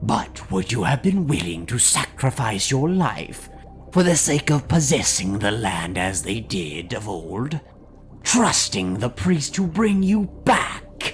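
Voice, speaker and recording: A man puts on a character voice at a medium pitch with very wide pitch swings. Music plays clearly in the background. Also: fairly slow pace. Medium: read story. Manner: lofty, didactic, scornful.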